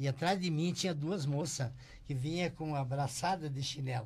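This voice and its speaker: Somewhat breathy speech at a moderate pace. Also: man. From Rio Grande do Sul, Brazil. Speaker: shoemaker and business owner. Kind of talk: interview storytelling. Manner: halting, repeats words.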